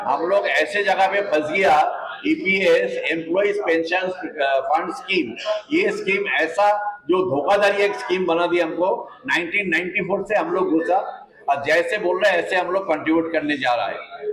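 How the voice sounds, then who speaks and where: A man speaks at a high pitch with ordinary pitch variation and very even loudness. Noticeable background noise and audible room echo surround him. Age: 70s. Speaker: retired pensioner activist. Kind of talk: press conference statement. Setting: press conference. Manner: impassioned.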